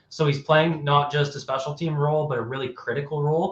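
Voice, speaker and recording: This man has a plain, everyday voice with a Canadian accent. His pitch is fairly high and his pace fairly quick. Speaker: football analyst. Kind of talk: live stream sports talk. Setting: live stream. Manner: fast, with many self-corrections.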